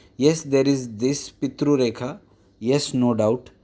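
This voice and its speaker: In a very clean recording with a silent background, a man speaks at a fairly slow pace with a medium pitch and a dark, mellow tone. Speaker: astrologer and palmist. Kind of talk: tutorial. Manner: hesitant, many fillers.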